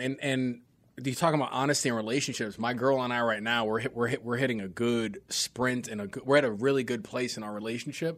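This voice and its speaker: An ordinary speaking voice from a medium-pitched man, fairly quick with hardly any pauses and ordinary pitch variation, on a very clean recording with a silent background. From New York City. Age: 30s. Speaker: comedian and podcaster. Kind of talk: casual chat.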